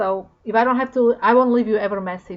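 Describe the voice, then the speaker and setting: A woman with a Slovak accent speaks at a fairly high pitch. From Slovakia. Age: 40s. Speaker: vlogger. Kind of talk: casual talk to camera. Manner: animated.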